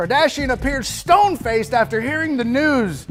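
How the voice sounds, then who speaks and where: Over music in the background, a man with an extremely high pitch talks very fast. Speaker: comedic sports news host. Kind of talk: comedic sports news monologue with jokes.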